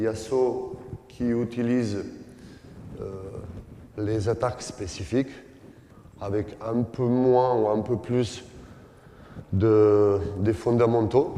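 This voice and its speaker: With a non-native accent, a man speaks very slowly with long, frequent pauses, his medium-pitched voice dark and mellow and his intonation fairly even, in a room with audible echo. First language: not French (speaking French). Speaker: basketball coach, former player. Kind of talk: coaching clinic lecture. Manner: halting, many hesitations.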